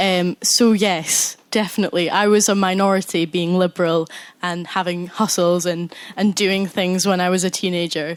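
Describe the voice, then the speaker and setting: Speaking at a moderate pace, a woman with a Scottish accent holds a medium pitch in a monotone, flat intonation. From Scotland, Scottish Borders (Galashiels). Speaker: university student, audience member. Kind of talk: audience contribution in a live debate.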